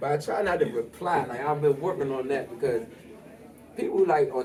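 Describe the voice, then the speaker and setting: A man speaks with noticeable background noise. Audible room echo surrounds his voice. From Washington DC, Northeast. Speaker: rapper. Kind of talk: casual interview.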